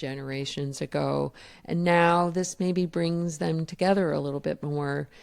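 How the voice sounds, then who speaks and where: With an unremarkable speaking voice, a woman talks at a moderate pace and fairly low pitch with ordinary pitch variation, on a very clean recording with a silent background. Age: 60s. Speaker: grandparent raising grandchildren, podcast host. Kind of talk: interview conversation.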